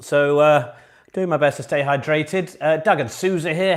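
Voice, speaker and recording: A man talks in an upbeat tone. He has a British accent. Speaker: online pub quiz host. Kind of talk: live quiz hosting, casual. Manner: chatty, upbeat.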